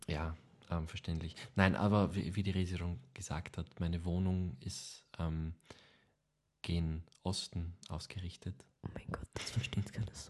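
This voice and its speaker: Here a man speaks with a very deep, low pitch. His pace is fairly slow and his intonation fairly even. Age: 20s. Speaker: podcast co-host, actor. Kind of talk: casual chat.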